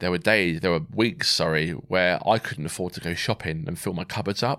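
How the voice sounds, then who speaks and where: With a southern English accent, a man speaks at a moderate pace with lively intonation on a very clean recording with a silent background. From southern England (Swindon, Wiltshire). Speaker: military veteran, amputee. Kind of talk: personal testimony in an interview.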